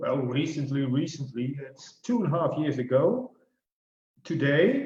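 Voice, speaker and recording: A man's fairly high, somewhat breathy voice at a fairly slow pace, with lively intonation, big swings in loudness and audible room echo. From Netherlands. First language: Dutch. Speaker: financial life planner. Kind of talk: casual interview. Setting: video call.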